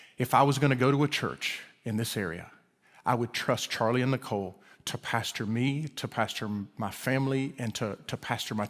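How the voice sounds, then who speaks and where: Recorded very cleanly against a silent background, a man speaks with an Alabama accent. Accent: Alabama drawl. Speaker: guest preacher and professor. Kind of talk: sermon. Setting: church service. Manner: halting, many repeated words.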